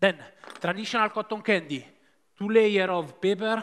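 A man with an Italian accent. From Italy. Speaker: pastry chef; presenter. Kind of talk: live cooking demonstration. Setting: stage with audience. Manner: halting, many fillers. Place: stage. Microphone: headset.

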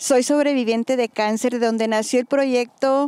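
Pitched fairly high, a woman speaks at a fairly slow pace with fairly even intonation and a dark, mellow, clear, smooth tone.

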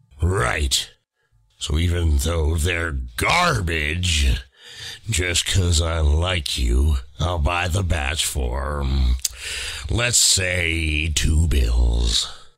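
Pitched very deep and low, a man talks at a very slow pace with long, frequent pauses. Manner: brash, gruff, shouting.

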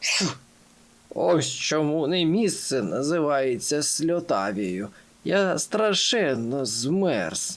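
Put-on character voice from a man, fairly high in pitch, very slow, with very wide pitch swings and very even loudness. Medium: read story. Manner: gloomy, complaining.

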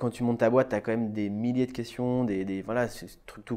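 Against a quiet background, a man's voice has a dark, mellow tone, medium pitch and fairly even intonation. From Brittany, France. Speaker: architect. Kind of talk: interview. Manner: hesitant. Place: office.

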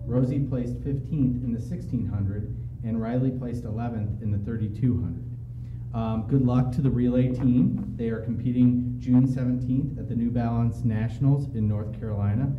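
A man's fairly even intonation and moderate pace come through noticeable background noise. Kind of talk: formal announcement speech. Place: meeting room. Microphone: podium.

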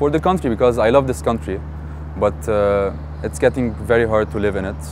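A man speaks at a moderate pace, the sound dry with no echo and noticeable background noise behind him. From Beirut, Lebanon. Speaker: marketing and advertising professional. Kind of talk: interview answer. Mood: frustrated, sad about his country. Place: garden. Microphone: lapel.

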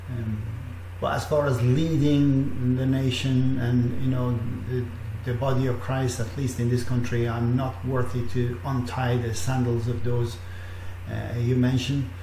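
Speaking at a fairly slow pace, a man is heard with audible room echo and light background noise. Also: medium pitch for a man, fairly even intonation. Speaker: online minister leading prayer. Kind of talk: fervent intercessory prayer, addressing God directly. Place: home room. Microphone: webcam.

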